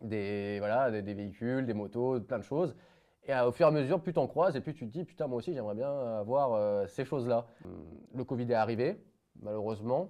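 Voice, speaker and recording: Medium pitch, lively intonation and a fairly quick pace from a man. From France, Isère near Savoie. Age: 20s. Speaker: young entrepreneur, former truck driver. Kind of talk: podcast interview. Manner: casual, hesitant with many fillers.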